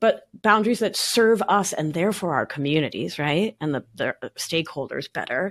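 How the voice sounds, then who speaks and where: A woman with an American accent and an ordinary speaking voice talks at medium pitch and moderate pace with lively intonation, recorded very cleanly with a silent background and a dry, close sound with no echo. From Argentina (Buenos Aires), raised partly in New York. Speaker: somatic life coach and nurse practitioner. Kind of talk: podcast interview.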